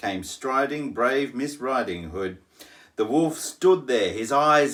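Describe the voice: The text is read out plainly, and the intonation is lively.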